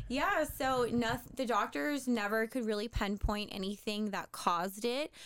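A woman with an American accent, fairly high-pitched, at a fairly slow pace with hardly any pauses and ordinary pitch variation. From US Mid-Atlantic, near Washington DC. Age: 30s. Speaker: fitness coach and entrepreneur. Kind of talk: casual interview.

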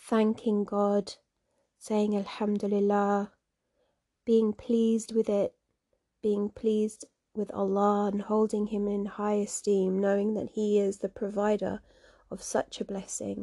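On a very clean recording with a silent background, a woman with a dark, mellow, soothing, gentle tone speaks at medium pitch and a fairly slow pace, in monotone, flat intonation with long, frequent pauses. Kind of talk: guided walking meditation. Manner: soothing, slow and unhurried, with gentle imagery.

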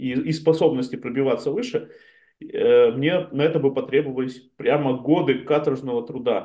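This man has an ordinary speaking voice. His pitch is fairly high, and his pace is moderate. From Chelyabinsk, Russia. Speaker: startup community founder. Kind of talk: casual interview chat. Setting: video call.

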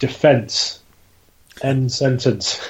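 A man's somewhat breathy, fairly high voice in a British accent. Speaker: podcast host. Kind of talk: casual chat. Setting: studio.

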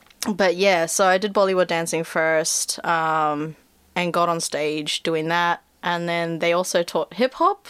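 On a very clean recording with a silent background, a woman in a New Zealand accent speaks at a fairly slow pace, fairly low in pitch, her intonation fairly even. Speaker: actor and animator. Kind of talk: casual chat.

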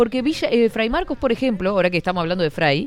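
Music plays in the background as the voice swings very widely in pitch. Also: woman. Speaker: radio host. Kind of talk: casual chat. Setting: studio. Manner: animated.

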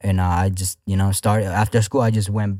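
On a very clean recording with a silent background, a man with an American accent speaks in a dark, mellow tone with monotone, flat intonation. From Houston, Texas (north side). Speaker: independent rapper. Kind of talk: casual interview. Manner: halting, many fillers.

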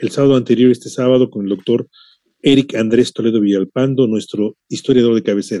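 The speech moves at a fairly quick pace, with a dark, mellow tone. The sound is dry and close, with no echo. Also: man. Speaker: radio host. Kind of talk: radio interview.

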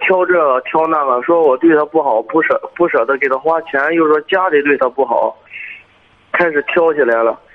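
A man with a fairly high pitch keeps a moderate pace as noticeable background noise carries on behind him. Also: very even loudness. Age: 20s. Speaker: caller. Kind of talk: phone-in personal story.

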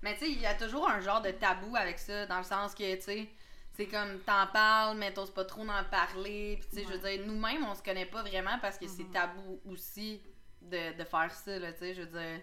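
In a Quebec accent, a woman talks at a medium pitch and a moderate pace. Audible room echo surrounds her voice. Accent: Québécois French. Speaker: podcast host. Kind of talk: casual chat. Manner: animated.

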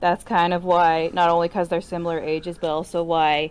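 With an unremarkable speaking voice, a woman talks at a moderate pace and a fairly low pitch. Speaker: podcast co-host. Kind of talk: casual chat.

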